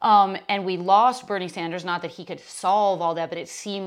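On a very clean recording with nothing in the background, a woman keeps a moderate speed. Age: 40s. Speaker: podcast host and yoga teacher. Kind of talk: casual interview.

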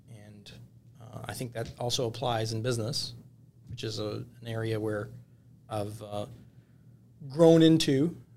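A man's medium-pitched voice with an American accent at a fairly slow pace, ordinary pitch variation, big swings in loudness, long, frequent pauses and audible room echo. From Michigan, US. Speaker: lawyer. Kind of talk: casual chat. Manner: halting, many repeated words.

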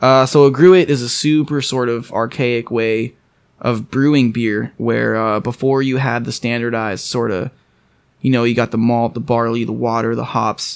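A man with an American accent and an unremarkable speaking voice talks at a medium pitch and a moderate pace with fairly even intonation. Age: 20s. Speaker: brewery representative. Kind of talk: casual chat.

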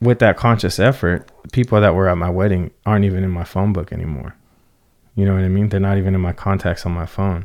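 Very deep and low, a man's voice moves at a very fast pace in an American accent with fairly even intonation. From Southern California, San Fernando Valley. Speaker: car enthusiast and podcaster. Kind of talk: casual chat.

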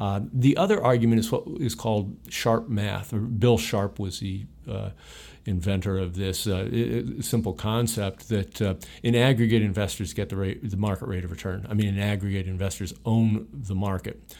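A man speaks in a Midwestern American accent at a fairly low pitch. His pitch varies in an ordinary way in a very clean recording with a silent background. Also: moderate pace. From Ohio, US Midwest. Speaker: retired investment executive. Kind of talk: interview. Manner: halting, many fillers.

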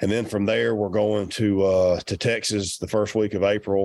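A man with a Southern US accent speaks at a moderate pace and a fairly low pitch on a very clean recording with a silent background. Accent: Southern US (Georgia). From Georgia, US South. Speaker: professional turkey hunter. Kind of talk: casual interview chat.

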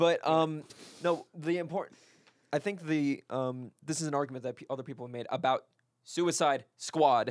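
At a moderate pace, an ordinary speaking voice moves through big swings in loudness with ordinary pitch variation. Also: man, fairly high pitch for a man. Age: 20s. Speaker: podcast panelist. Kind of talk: casual chat.

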